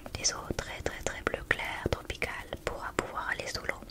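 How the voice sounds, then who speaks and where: A woman whispers at a fairly slow pace while noticeable background noise sits underneath. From France. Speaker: ASMR content creator. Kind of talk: casual monologue to camera.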